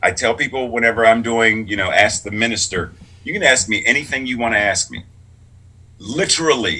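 Speaking with an American accent, a man has a bright, sharp, animated tone, a medium pitch, ordinary pitch variation and a fairly quick pace. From Pittsburgh, Pennsylvania. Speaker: clergy and sign language interpreter. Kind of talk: casual interview. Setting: video call.

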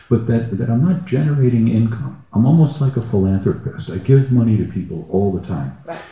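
There is noticeable background noise behind this speaker. He is a man with a medium pitch who talks at a fairly quick pace. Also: lively intonation, hardly any pauses. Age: 60s. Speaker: retired gong musician, participant. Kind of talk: personal sharing in group session. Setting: live event with audience and roving mic.

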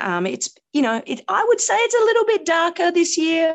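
Her Australian accent clear, a woman speaks at a moderate pace with lively intonation. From Australia (Canberra), early childhood in India. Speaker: comedian. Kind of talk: casual chat. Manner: laconic.

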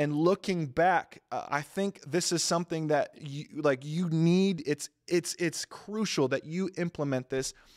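Recorded dry and close with no echo against a silent background in a very clean recording, a man with an unremarkable speaking voice talks at a fairly slow pace with fairly high pitch and fairly even intonation. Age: 20s. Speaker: pastor. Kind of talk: sermon. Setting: church service, also streamed.

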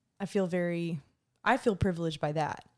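Speaking with an American accent, a woman has a fairly low pitch and fairly even intonation at a fairly slow pace. The recording is very clean, with a silent background. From US South, Atlanta, Georgia. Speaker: singer-songwriter. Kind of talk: casual interview chat. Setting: studio.

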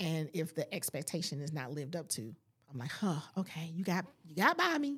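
This woman's voice sits fairly low with ordinary pitch variation and big swings in loudness. She talks at a fairly quick pace in a plain, everyday voice. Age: 40s. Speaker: life coach and podcaster. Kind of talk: casual chat. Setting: studio.

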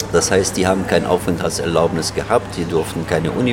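Fairly quick speech from a man with ordinary pitch variation and music in the background. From Germany, Berlin. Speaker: chairman of a Palestinian community association. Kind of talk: interview. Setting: café. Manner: halting.

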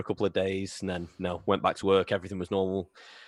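Speaking at a fairly quick pace, a man has a Lancashire accent. The recording is very clean with a silent background and a dry, close sound with no echo. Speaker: podcast host, fan page runner. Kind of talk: casual chat.

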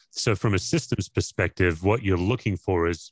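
A man with an Australian accent and a very deep, low pitch at a moderate pace, dry and close with no echo, over a quiet background. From Australia, Perth. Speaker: pastor and former chaplain. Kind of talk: interview conversation.

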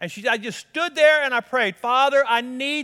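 Raising and projecting his voice, a man speaks with a bright, sharp tone. His pace is moderate and his pitch varies in an ordinary way. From Colorado. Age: 50s. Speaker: pastor. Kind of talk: sermon.

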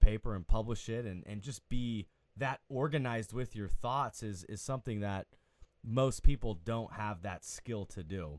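A man speaks in a normal speaking voice with ordinary pitch variation, on a very clean recording with a silent background. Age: 20s. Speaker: podcast co-host and counselor. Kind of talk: casual interview chat.

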